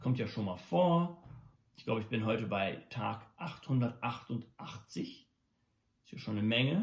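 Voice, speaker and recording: At a moderate pace and somewhat breathy, the voice has lively intonation, big swings in loudness, and long, frequent pauses. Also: man, medium pitch for a man. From Germany until 14, then USA. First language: English and German from childhood (speaking German). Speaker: musician and daily video blogger. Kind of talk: casual monologue vlog. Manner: halting, many fillers and restarts.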